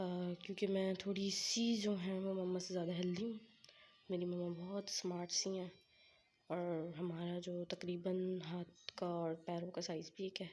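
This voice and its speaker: A woman of medium pitch talks at a fairly slow pace, somewhat breathy and with monotone, flat intonation. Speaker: vlogger. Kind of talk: casual show-and-tell vlog.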